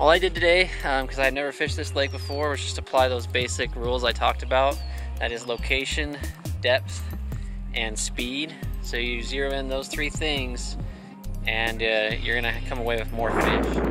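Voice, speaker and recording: At a moderate pace, a man with a fairly low pitch talks in a dry sound with no echo. Clear music plays in the background. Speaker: fishing channel host. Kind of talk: tutorial. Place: waterside. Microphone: phone near.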